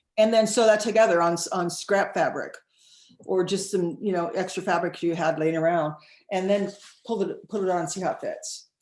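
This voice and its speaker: A woman talks at a fairly quick pace with fairly even intonation. She has a normal speaking voice. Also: medium pitch for a woman. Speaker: sewing teacher. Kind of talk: tutorial.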